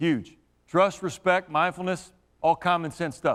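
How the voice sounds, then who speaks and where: The voice is loud. The recording is very clean, with a silent background. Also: man. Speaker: high school athletic director. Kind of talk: presentation to coaches and community. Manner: energetic.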